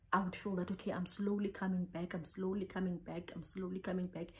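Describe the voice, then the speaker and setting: The woman's tone is dark and mellow. There is some breathiness to it. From South Africa, Cape Town. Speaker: traditional healer. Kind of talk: personal testimony.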